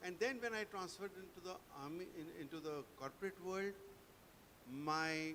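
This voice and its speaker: A man with a high pitch talks at a moderate pace, leaving long, frequent pauses over noticeable background noise. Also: ordinary pitch variation. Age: 70s. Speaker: army veteran and corporate trainer. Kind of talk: award acceptance speech.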